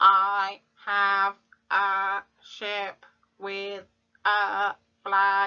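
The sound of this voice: This is a put-on character voice that sounds robotic. Its intonation is monotone and flat. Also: female-sounding voice, medium pitch for a woman.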